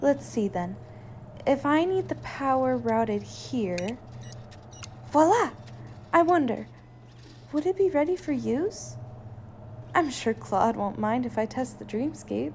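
A woman's put-on character voice, high-pitched with a slightly mellow tone and vocal fry, slow and full of long, frequent pauses, with lively intonation over faint background noise.

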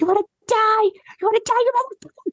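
A put-on character voice at an extremely high pitch, delivered at a fairly quick pace. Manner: threatening, taunting.

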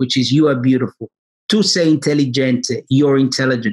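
A fairly high male voice with an Australian accent and ordinary pitch variation. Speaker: salon owner. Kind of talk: interview. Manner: animated.

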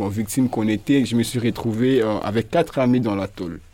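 Using a plain, everyday voice, a man speaks at a fairly low pitch and a moderate pace with fairly even intonation. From DR Congo, Kinshasa. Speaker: performance artist. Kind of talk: radio interview.

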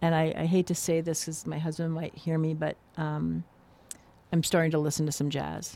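A woman speaks at a moderate pace in a very deep, low voice with a dark, mellow tone, an American accent and flat, monotone intonation. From New Jersey. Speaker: graphic designer. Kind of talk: casual chat. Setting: studio.

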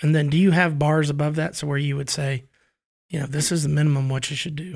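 A man speaks in a somewhat breathy voice at a fairly high pitch. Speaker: podcast co-host, educator. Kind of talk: casual interview chat.

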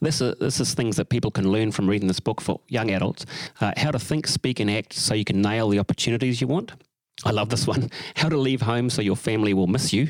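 Here a man speaks in a New Zealand accent at a medium pitch. His pace is very fast and his loudness very even. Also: ordinary pitch variation, dry, close sound with no echo. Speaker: podcast co-host. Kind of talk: interview.

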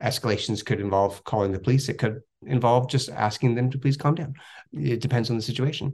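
A man talks very fast at medium pitch, his voice somewhat breathy. His pitch varies in an ordinary way against a quiet background. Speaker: company spokesperson. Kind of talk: radio interview.

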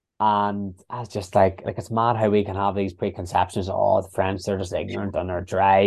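With an Irish accent, the speaker moves at a fairly quick pace in a monotone, flat intonation. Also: man. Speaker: podcast host. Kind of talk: casual chat. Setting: video call.

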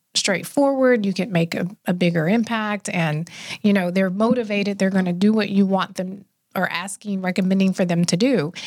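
A woman speaks in a plain, everyday voice at a medium pitch and moderate pace, with fairly even intonation. The recording is very clean, with a silent background. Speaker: health and wellness expert. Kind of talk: casual interview chat.

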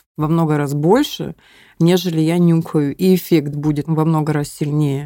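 Here a woman speaks at a moderate pace. Her voice is fairly low-pitched, with a dark, mellow tone. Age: 30s. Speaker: former drug user living with HIV. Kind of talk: personal testimony. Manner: laughs and jokes a lot.

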